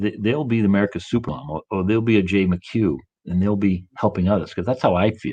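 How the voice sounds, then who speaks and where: With a Boston accent, a man talks at a fairly quick pace and fairly low pitch. His pitch varies in an ordinary way over a quiet background. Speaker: coach and motivational speaker. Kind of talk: interview. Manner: fast.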